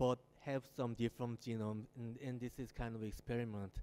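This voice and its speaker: With a Korean accent, a man talks at a moderate pace in a medium-pitched, dark, mellow voice with fairly even intonation. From South Korea. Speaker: architect. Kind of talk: lecture. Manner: halting.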